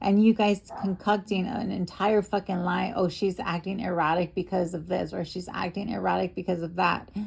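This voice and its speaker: A woman speaks at a medium pitch, with hardly any pauses. There is noticeable background noise. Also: fairly even intonation, moderate pace. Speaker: streamer. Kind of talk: heated argument. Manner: agitated; halting.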